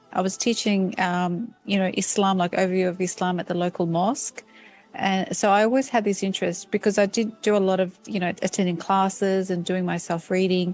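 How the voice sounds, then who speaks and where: A woman with an Australian accent talks at a fairly quick pace in a medium pitch. Her intonation is fairly even, with music in the background. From Australia, Sydney. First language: Turkish. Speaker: professor. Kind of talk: interview. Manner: halting, many fillers.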